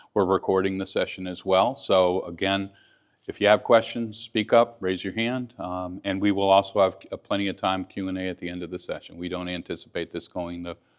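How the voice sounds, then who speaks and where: A man speaks in a very deep, low voice at a fairly quick pace. His intonation stays monotone and flat. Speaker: sales executive presenting a session. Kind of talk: conference presentation. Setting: conference stage with audience. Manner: loud.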